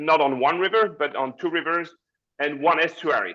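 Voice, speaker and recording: With a French accent, a man speaks in a bright, sharp tone at a fairly high pitch with ordinary pitch variation. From France. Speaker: cruise line representative. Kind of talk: webinar presentation. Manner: halting.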